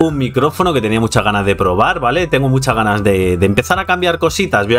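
The speech moves at a fairly quick pace. Faint music sits in the background. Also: man. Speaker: youtuber. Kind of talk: casual vlog chat. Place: home room. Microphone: studio mic.

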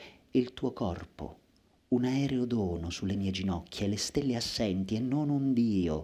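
A man's fairly low, dark, mellow voice with lively intonation. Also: fairly slow pace. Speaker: poet reciter. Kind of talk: poetry reading aloud. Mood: intense, lyrical, dramatic. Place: stage. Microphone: headset.

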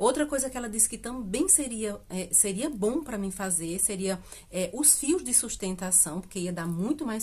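A woman speaks at a moderate pace with hardly any pauses. Her intonation is lively. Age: 50s. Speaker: beauty vlogger. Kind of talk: casual vlog talk to camera. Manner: chatty, filler-heavy with hesitations. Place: home room. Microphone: phone near.

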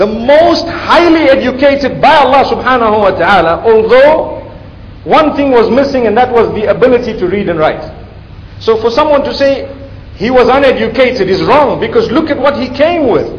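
A man at a moderate pace, his intonation lively. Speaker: religious lecturer. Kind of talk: sermon. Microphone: podium.

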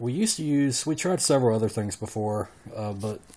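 With an American accent, a man talks at a moderate pace with ordinary pitch variation. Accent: thick country. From Southern US. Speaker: home theater hobbyist. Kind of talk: casual talk to camera. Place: home room. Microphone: phone near.

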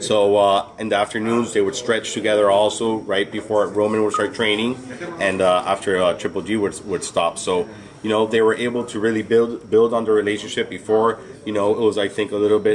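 A man's fairly low voice at a fairly quick pace, monotone and flat, with light background noise. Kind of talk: interview answer. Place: gym. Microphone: handheld.

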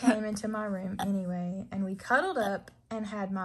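The voice heard is a natural reading voice. It is used for reading.

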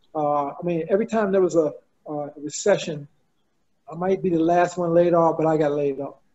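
With an American accent, a man talks at a fairly quick pace in a high pitch, keeping his intonation fairly even. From Washington DC area, US Mid-Atlantic. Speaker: architect; webinar panelist. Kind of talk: personal story in panel discussion. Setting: video call. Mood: earnest, reflective. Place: home room. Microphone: video call.

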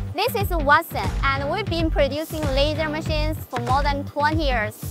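Over clear background music, a woman speaks at a moderate pace in a dry sound with no echo. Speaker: presenter. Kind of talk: product tutorial presentation. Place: hall. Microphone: lapel.

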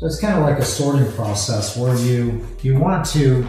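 Clear music plays in the background as a man speaks amid strong room echo. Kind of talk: tutorial. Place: garage.

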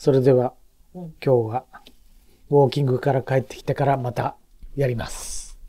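Quiet background behind a man at medium pitch, somewhat breathy and dark and mellow in tone, whose flat, monotone intonation comes with big swings in loudness. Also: moderate pace. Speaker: vlog narrator, family member. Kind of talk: casual vlog narration and chat. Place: home room. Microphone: phone near.

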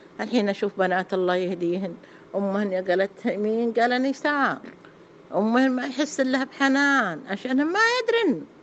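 Noticeable background noise sits behind a woman with a fairly high voice. She talks at a fairly slow pace with lively intonation. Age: 70s. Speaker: elderly woman telling her life story. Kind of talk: personal testimony.

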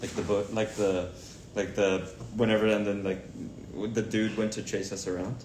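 Against light background noise and audible room echo, a man with a fairly low pitch speaks at a moderate pace in a monotone, flat intonation. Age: 20s. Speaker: celebrity's sibling on livestream. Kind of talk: casual livestream chat. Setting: livestream video. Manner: jokey. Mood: relaxed, playful. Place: home room. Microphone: phone near.

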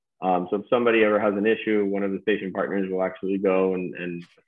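With an American accent and an ordinary speaking voice, a man speaks at a fairly low pitch and a fairly quick pace against a quiet background. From Key Biscayne, Florida; Florida. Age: 30s. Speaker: startup co-founder; guest. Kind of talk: interview. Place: home room. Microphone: video call.

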